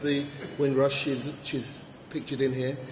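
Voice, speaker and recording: A man is talking with noticeable background noise. Audible echo fills the room. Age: 50s. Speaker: event host. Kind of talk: event compering. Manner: animated.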